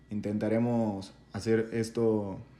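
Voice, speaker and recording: Audible room echo surrounds the recording. A man speaks at a medium pitch. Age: 20s. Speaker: podcast co-host. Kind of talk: casual chat.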